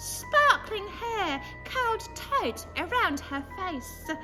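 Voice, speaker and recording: A woman performs a put-on character voice over clear music in the background. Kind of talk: horror story reading. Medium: read story.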